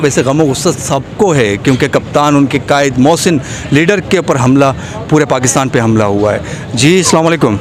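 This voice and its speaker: Over noticeable background noise, a man speaks in a fairly high pitch at very even loudness. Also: ordinary pitch variation. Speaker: street reporter. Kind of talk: street interview questions.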